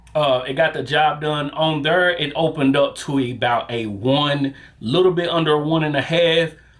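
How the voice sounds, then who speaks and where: With a Southern US accent, a man speaks fairly slowly at a fairly high pitch over noticeable background noise. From US South. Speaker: barber. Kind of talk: product review. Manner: casual, with many fillers.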